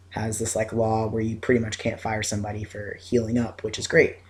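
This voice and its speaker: On a very clean recording with a silent background, a man speaks at medium pitch in a somewhat breathy, flat monotone. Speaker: video blogger. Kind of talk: casual vlog update. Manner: hesitant, many fillers.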